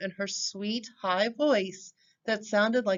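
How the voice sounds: Over a quiet background, this is a natural reading voice.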